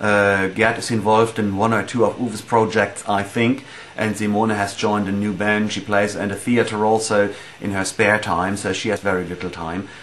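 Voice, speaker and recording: A man with a German accent speaks at a moderate pace and fairly low pitch in monotone, flat intonation, with noticeable background noise. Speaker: metal band musician. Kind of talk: casual interview answering fan questions. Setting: at home in dining room. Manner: halting, many fillers.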